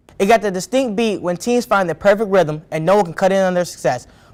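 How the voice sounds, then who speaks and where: Against noticeable background noise, a man talks very fast at a high pitch with ordinary pitch variation. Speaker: sports reporter / anchor. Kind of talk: sports news broadcast demo reel.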